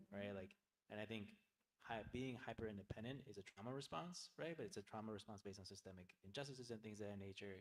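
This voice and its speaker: Soft-spoken and at a very fast pace, a man talks with a fairly low pitch. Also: ordinary pitch variation. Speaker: nonprofit leader. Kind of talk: panel discussion. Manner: halting.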